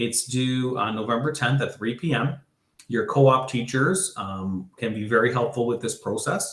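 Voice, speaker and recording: A man with a Canadian accent speaks at a medium pitch and a moderate pace. His voice is somewhat breathy, with ordinary pitch variation. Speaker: school board education program coordinator. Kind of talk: online information session presentation. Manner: hesitant, many filler words.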